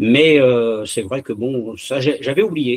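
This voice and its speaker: With a dry, close sound and no echo, a man of medium pitch talks at a very slow pace with ordinary pitch variation. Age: 70s. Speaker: church member giving testimony. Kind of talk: testimony. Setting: video call. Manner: halting, many hesitations.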